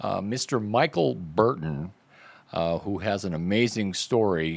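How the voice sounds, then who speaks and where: With an unremarkable speaking voice, a man talks at a fairly slow pace and a fairly low pitch, using lively intonation. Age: 60s. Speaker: podcast host, army veteran. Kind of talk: casual interview. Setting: podcast.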